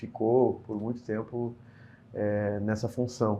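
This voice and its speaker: A man talks at a fairly slow pace with a medium pitch. His is an unremarkable speaking voice. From Brazil, Porto Alegre (Rio Grande do Sul). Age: 30s. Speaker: state politician. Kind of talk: interview.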